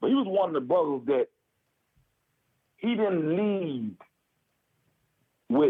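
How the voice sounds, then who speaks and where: Very wide pitch swings from a man speaking high in pitch. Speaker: former prisoner. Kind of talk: casual chat. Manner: loud.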